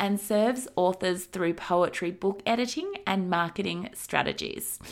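A woman with an unremarkable speaking voice talks at a fairly slow pace. Her pitch is medium and its variation ordinary. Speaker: podcast host and marketing coach. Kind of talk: interview, intro and outro.

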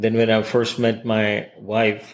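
On a very clean recording, a man talks against a silent background. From Hong Kong. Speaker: podcast host. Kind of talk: interview.

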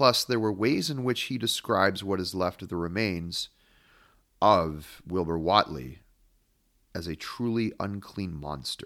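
A man with a fairly low voice speaks in a plain, everyday voice on a very clean recording with a silent background. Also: lively intonation. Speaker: podcast host and literary analyst. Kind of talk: analytical lecture-style monologue on horror literature.

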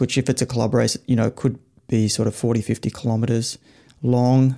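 A very fast, monotone, flat delivery from a man with a dark, mellow tone and an Australian accent. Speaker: cycling coach and author. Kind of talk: casual panel discussion. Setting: live online audio room.

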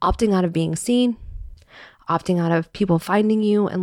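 Her pitch varies in an ordinary way as this woman talks at a very fast pace. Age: 40s. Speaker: podcast host, personal style coach. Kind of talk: solo podcast monologue.

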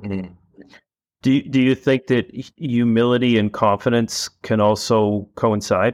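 A man with an American accent speaks at medium pitch with fairly even intonation. His pace is fairly slow, and the sound is dry and close, with no echo. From Boston. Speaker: podcast host. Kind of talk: casual interview conversation.

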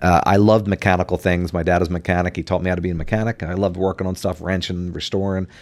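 A man with an American accent and fairly even intonation in a very clean recording with a silent background. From New Jersey. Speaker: church ministry volunteer. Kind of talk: casual chat.

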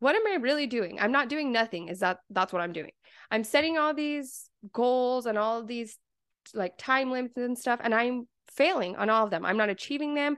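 A woman talks at a moderate pace in a high pitch. Her tone is animated and warm. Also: lively intonation, quiet background. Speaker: success and mindset coach, podcast host. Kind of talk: motivational pep talk, solo podcast monologue. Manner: animated, emphatic, warm and encouraging; repetitive build-up, energetic rhythm.

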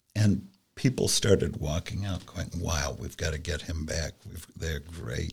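A man with an American accent speaks at a very deep, low pitch with vocal fry and ordinary pitch variation. He talks at a fairly slow pace, with big swings in loudness. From Columbus, Ohio. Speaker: industry council staff member. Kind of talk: casual interview chat.

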